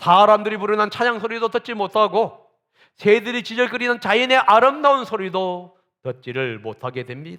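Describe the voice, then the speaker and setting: A man talks with a high pitch and a bright, sharp tone. His pace is moderate. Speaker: pastor. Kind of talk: sermon.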